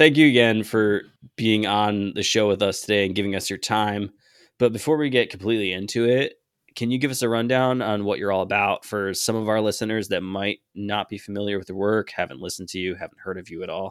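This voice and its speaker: In a normal speaking voice, a man talks at a fairly quick pace with a fairly low pitch and ordinary pitch variation. The recording is very clean, with a silent background. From US Northeast, rural Connecticut. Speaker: podcast co-host. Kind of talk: interview.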